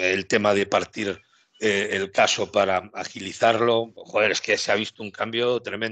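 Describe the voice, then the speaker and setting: A man speaks at a moderate pace in an ordinary speaking voice, his pitch fairly low and his intonation fairly even. The background is quiet and the sound is dry with no echo. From Spain, Galicia. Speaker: youtube channel host. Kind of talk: casual interview. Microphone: headset.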